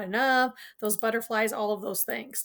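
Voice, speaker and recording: A woman is talking at a fairly high pitch. The background is silent and the recording very clean. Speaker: college instructor. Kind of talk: lecture. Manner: fast.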